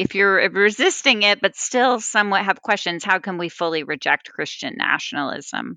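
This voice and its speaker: In an American accent, a woman with an unremarkable speaking voice talks at a moderate pace. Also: medium pitch for a woman, lively intonation, hardly any pauses. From Texas. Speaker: religious liberty advocate. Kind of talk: interview.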